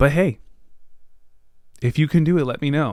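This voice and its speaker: The man sounds animated. The recording is very clean, with a silent background. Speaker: podcast host. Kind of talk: casual solo podcast chat. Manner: fast.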